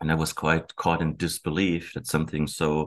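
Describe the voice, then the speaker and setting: This man has a very deep, low pitch and some vocal fry. He talks at a fairly quick pace with fairly even intonation. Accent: German. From Germany. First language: German. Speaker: historian. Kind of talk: interview. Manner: halting.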